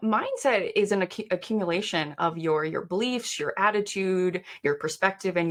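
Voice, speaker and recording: Woman at medium pitch with ordinary pitch variation, hardly any pauses and noticeable background noise. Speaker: performance coach. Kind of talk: interview. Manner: fast.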